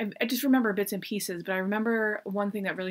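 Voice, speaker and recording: Speaking at a fairly quick pace with an American accent, a woman keeps her intonation fairly even against a quiet background. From US. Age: 40s. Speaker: book reviewer. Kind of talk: casual chat. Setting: at home desk. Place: home room. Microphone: webcam.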